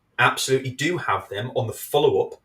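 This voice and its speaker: A man with an English accent at a moderate pace. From England. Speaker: video marketing expert. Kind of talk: casual chat. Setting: live video show.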